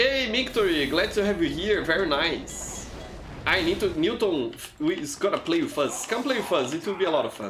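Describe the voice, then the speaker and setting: A man with a high pitch and very wide pitch swings speaks at a moderate pace, with audible room echo and noticeable background noise. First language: not English. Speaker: gaming livestreamer. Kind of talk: live gameplay commentary. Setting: livestream. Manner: halting, frequent repetitions. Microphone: poor mic.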